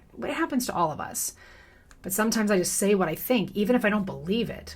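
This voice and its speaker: A woman rushes along at a very fast pace, her voice somewhat breathy. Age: 30s. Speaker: commentary youtuber. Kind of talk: personal commentary monologue.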